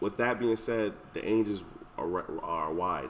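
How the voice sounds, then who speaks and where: A man is speaking. He mumbles his words. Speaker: event planner. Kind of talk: casual chat. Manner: fast; mumbling.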